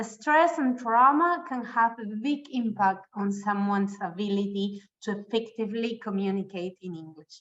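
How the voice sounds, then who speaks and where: With a Spanish accent, a woman speaks with lively intonation, big swings in loudness and hardly any pauses. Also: fairly high pitch for a woman, moderate pace. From Argentina. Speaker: webinar presenter. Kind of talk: presentation.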